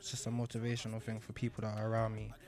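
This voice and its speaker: A man speaks with a London accent. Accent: London multicultural English. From London, England. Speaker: rapper. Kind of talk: interview.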